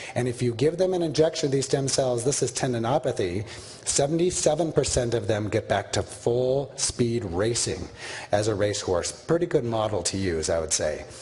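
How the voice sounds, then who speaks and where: A man's medium-pitched voice swings very widely in pitch, with noticeable background noise behind it. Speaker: orthopedic surgeon lecturer. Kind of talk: lecture. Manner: fast.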